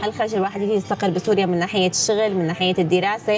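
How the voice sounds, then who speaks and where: A woman with a Damascus accent speaks very fast at a medium pitch, with noticeable background noise. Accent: Damascene Syrian Arabic. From Syria, Damascus (Midan). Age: 20s. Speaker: YouTuber, vlogger. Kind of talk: casual Q&A vlog. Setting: indoors, rainy day by a fire.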